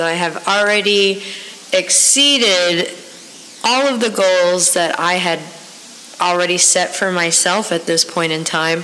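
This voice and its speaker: Over noticeable background noise and audible room echo, a woman speaks at a very slow pace with a fairly low pitch, ordinary pitch variation and very even loudness. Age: 30s. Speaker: podcast host. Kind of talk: casual monologue. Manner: animated.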